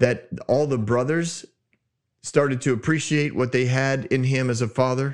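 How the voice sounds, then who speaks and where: Animated in tone, a man is talking. His pitch sits in the medium range. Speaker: Bible teaching podcast host. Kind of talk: Bible teaching monologue. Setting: studio. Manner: loud.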